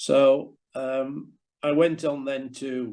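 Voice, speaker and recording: A fairly high-pitched man's voice in a Yorkshire accent, with fairly even intonation against a quiet background. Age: 70s. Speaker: former professional cricketer. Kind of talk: interview. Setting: video call.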